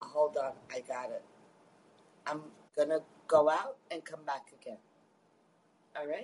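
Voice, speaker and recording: A woman with an American accent speaks at a fairly slow pace with a very deep, low pitch, ordinary pitch variation, big swings in loudness and long, frequent pauses. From Queens, New York. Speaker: caller. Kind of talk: heated debate.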